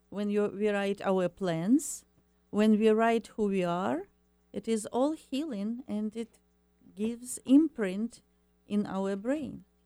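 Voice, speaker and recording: With music in the background, a woman with an Eastern European accent speaks very slowly at a medium pitch, with ordinary pitch variation and a dry, close sound with no echo. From Ukraine. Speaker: happiness coach and ESL teacher. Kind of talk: radio interview. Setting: studio. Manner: halting.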